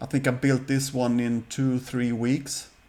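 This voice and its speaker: Pitched in the middle range, this man's voice carries a non-native accent. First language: Swedish. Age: 50s. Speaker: scale model hobbyist youtuber. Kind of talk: casual show-and-tell video. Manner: halting, with fillers.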